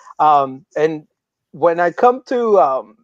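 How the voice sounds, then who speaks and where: A man speaks with a Spanish accent at a fairly high pitch, with ordinary pitch variation. The sound is dry and close, with no echo. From Mexico, Guadalajara. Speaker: tech coach. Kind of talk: casual interview.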